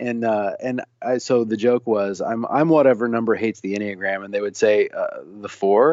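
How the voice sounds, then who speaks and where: With an American accent, a man talks at a moderate pace in an ordinary speaking voice, his pitch medium and his intonation fairly even, with hardly any pauses. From US Midwest, Illinois near Saint Louis, then Tennessee. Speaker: singer-songwriter and author. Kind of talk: casual interview.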